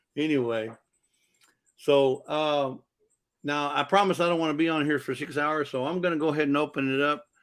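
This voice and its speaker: A man talks at a fairly quick pace. His pitch sits fairly high. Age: 60s. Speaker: livestream host. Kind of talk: casual live stream chat. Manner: rambling, repetitive, halting.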